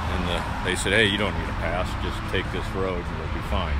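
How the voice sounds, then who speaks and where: The sound is dry with no echo as a man talks at a moderate pace over loud background noise. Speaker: travel vlogger. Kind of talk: casual vlog chat. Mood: relaxed, mildly amused. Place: open country. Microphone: phone near.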